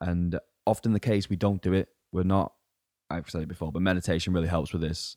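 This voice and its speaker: A man speaks at a very fast pace in a very deep, low voice with a dark, mellow tone and fairly even intonation, recorded dry and close with no echo against a very clean, silent background. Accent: English. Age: 20s. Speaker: fitness coach. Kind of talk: casual chat.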